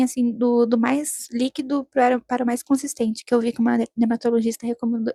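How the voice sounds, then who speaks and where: A woman speaks in a high, flat monotone with a dark, mellow tone, recorded dry and close with no echo. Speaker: student vlogger. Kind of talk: vlog narration. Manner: mumbled, slurred speech; hesitant, many fillers.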